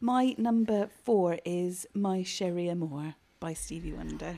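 A woman with a British accent, fairly low in pitch, dark and mellow in tone, at a very slow pace with ordinary pitch variation. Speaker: podcast co-host. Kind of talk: casual chat.

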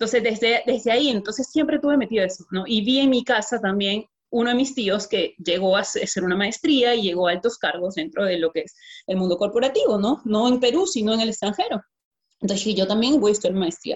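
A woman with a fairly high, somewhat breathy voice talks at a fairly quick pace. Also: ordinary pitch variation. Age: 20s. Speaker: network marketing distributor. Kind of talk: testimony.

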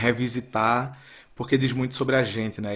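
Music plays in the background as a man talks at a moderate pace. His medium-pitched voice stays monotone and flat. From Brazil, Recife (Pernambuco). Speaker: astrology podcast guest, father. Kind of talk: casual chat.

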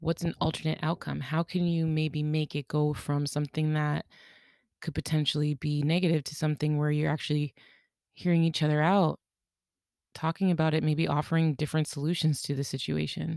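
A woman's very deep, low voice at a fairly quick pace, dry and close with no echo, in a very clean recording with a silent background. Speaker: podcast host. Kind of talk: solo monologue podcast. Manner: fast when excited; casual, laughs often.

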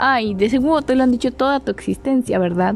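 Over noticeable background noise, a woman with a fairly high pitch speaks with lively intonation. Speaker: podcast host. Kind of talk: casual solo monologue. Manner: animated.

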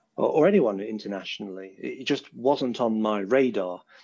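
Against a quiet background, a man with a British accent talks at a medium pitch and moderate pace, his tone dark and mellow and his pitch variation ordinary. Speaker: software developer and tech recruiter. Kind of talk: casual interview. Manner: easy to understand.

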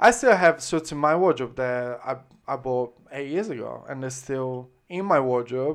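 Speaking at a moderate pace with an Italian accent, this voice comes through on a very clean recording over a silent background. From Italy, Florence (Tuscany). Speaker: menswear brand founder. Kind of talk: casual chat. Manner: halting.

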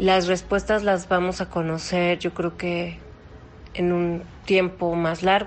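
Monotone, flat intonation comes from a woman with a fairly low pitch speaking at a very slow pace. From Mexico. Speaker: opera singer and voice teacher. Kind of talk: interview. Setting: phone call.

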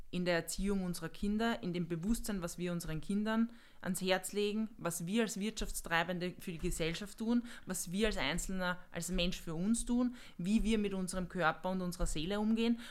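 A woman with a plain, everyday voice at medium pitch, moderate pace and ordinary pitch variation. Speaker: junior business manager. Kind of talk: casual chat.

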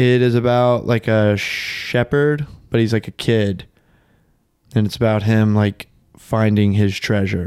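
Fairly low in pitch, a man's ordinary speaking voice moves at a fairly slow pace, with very even loudness and fairly even intonation. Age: 20s. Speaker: podcast co-host. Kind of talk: casual chat.

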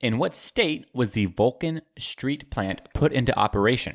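In a plain, everyday voice, a man of medium pitch talks at a fairly slow pace with lively intonation and a dry, close sound with no echo. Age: young. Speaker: trivia podcast co-host. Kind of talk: casual chat.

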